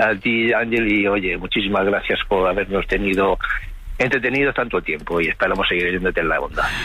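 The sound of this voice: A man talks at a fairly quick pace, his pitch low and its variation ordinary.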